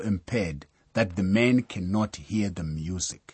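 Somewhat breathy, a man speaks at a fairly slow pace. His pitch variation is ordinary. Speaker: Bible teacher. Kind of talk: sermon-style Bible lecture. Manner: formal, teaching.

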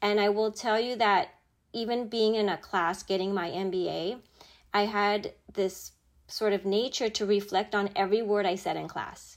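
In a normal speaking voice, a woman talks at a moderate pace with medium pitch and fairly even intonation on a very clean recording with a silent background. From born in Japan, raised in Chicago area US. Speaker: corporate executive. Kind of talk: interview, personal storytelling.

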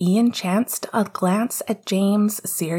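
A passage is being read aloud. The delivery is natural.

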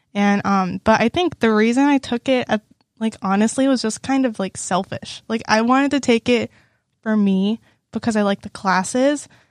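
In a very clean recording with a silent background, a woman with an unremarkable speaking voice talks at a moderate pace, her pitch fairly high with ordinary variation. The sound is dry and close, with no echo. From Texas, Houston area. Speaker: university student. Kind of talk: casual chat.

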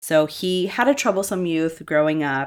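A woman speaks in a normal speaking voice with an American accent, at a fairly slow pace. Her pitch varies in an ordinary way, and the recording is very clean with a silent background. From Massachusetts. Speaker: podcast host. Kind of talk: true crime storytelling.

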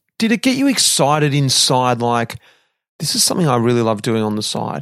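Speaking fairly quickly, a man uses a medium pitch. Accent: Australian. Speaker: podcast host, former pro cyclist. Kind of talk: interview.

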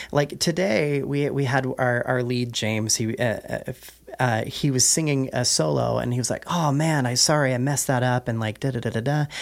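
At a moderate pace, a man speaks at medium pitch with ordinary pitch variation over noticeable background noise. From California (Fresno, then Nevada County). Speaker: theatre artistic director and opera singer. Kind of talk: casual interview.

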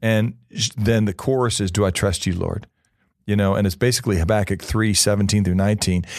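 A man with an American accent and a plain, everyday voice, fairly low in pitch, with fairly even intonation, very even loudness and a quiet background. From Missouri. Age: 50s. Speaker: pastor. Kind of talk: interview.

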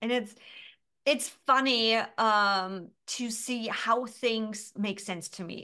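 The voice is loud and animated, with a bright, sharp tone over a quiet background. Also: woman. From Germany. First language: German. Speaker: business coach. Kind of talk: interview.

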